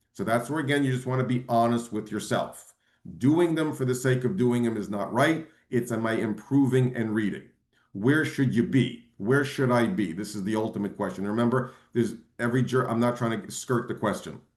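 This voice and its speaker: A man talks at a fairly quick pace in an animated tone, his pitch medium with ordinary variation. Audible room echo surrounds him. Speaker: bar exam prep lecturer. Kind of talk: webinar lecture. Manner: fast.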